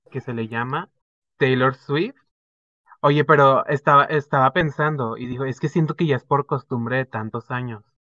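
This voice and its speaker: Fairly slow delivery from a man, his pitch fairly high and its variation ordinary. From Zapopan, Guadalajara, Jalisco, Mexico. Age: 20s. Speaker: podcast co-host, marketing student. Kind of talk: casual chat.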